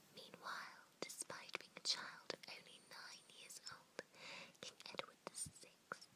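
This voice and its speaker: A woman whispers very slowly over noticeable background noise. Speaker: ASMR creator. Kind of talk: ASMR history lesson, teacher roleplay. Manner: soft-spoken, whispered.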